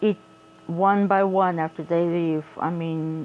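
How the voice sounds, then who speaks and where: With an American accent, this voice delivers its words in a flat, monotone intonation. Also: woman. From South Korea and United States. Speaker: craft vlogger. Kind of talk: casual chat. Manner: halting.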